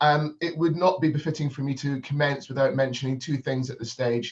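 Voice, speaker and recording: A man with a Northern Scottish accent talks at a very fast pace in a monotone, flat delivery, his medium-pitched voice somewhat breathy. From Scotland, Edinburgh. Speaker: business consultant. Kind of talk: keynote speech. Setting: video call. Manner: hesitant, many fillers.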